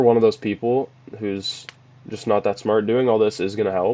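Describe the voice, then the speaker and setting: Dry, close sound with no echo carries speech at a moderate pace with fairly even intonation. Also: man. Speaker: youtuber giving advice. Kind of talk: casual vlog advice talk. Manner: monotone; casual, with filler words.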